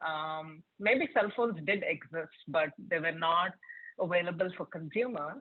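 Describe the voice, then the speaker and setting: A woman speaks with a Telugu accent. Her intonation is lively. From India, Hyderabad. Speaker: tech product leader, keynote speaker. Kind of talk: keynote talk to students. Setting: virtual event.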